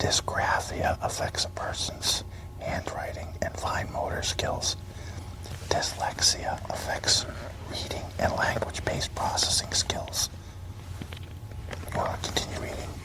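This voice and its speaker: Whispering in a gentle tone at a fairly slow pace with long, frequent pauses, the speaker is heard over noticeable background noise. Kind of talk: soft-spoken ASMR book reading in a library. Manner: soft-spoken, gentle.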